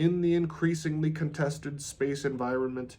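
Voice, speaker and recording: A man with a normal speaking voice, a moderate pace and fairly even intonation. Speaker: audiobook reader. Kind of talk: reading aloud.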